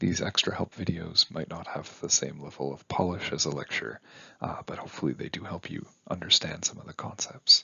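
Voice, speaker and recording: A man is whispering. His loudness swings widely. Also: fairly quick pace. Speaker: university instructor. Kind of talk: lecture.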